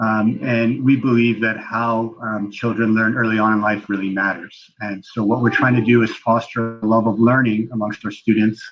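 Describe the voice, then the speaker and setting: This man has a slight Canadian accent and a medium pitch. He talks at a moderate pace in a monotone, flat intonation, with hardly any pauses. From Canada. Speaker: preschool owner. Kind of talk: interview. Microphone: connection breaking up.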